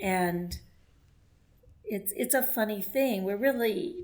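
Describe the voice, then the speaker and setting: A woman with an American accent speaks very slowly in a somewhat breathy voice. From Texas. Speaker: writer and former journalist. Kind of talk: podcast interview. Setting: remote call.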